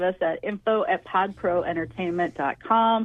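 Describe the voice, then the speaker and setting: Her intonation lively, a woman speaks. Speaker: tech guest on radio show. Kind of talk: casual chat. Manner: fast.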